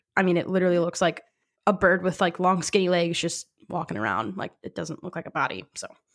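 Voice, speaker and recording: Talking at a very fast pace, a woman with a fairly low voice shows vocal fry and ordinary pitch variation. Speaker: podcast host. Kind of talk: casual chat. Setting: remote recording over video call.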